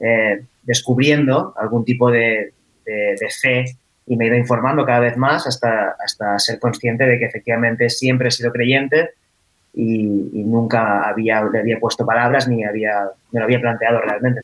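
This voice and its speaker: The speech moves at a moderate pace in a monotone with flat intonation. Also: man. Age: 20s. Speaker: copywriter and stand-up comedian. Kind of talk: round-table discussion. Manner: halting, many repetitions.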